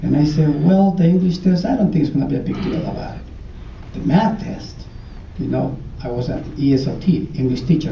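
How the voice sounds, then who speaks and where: Over noticeable background noise and audible room echo, a man with a strong Ecuadorian accent and a fairly high pitch speaks at a fairly quick pace with ordinary pitch variation and long, frequent pauses. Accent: heavy Ecuadorian Spanish. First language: Spanish. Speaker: former student speaker. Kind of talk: speech to an audience. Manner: halting.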